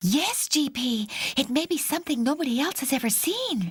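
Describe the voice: A female-sounding, cartoonish character voice speaks at a moderate pace with a high pitch.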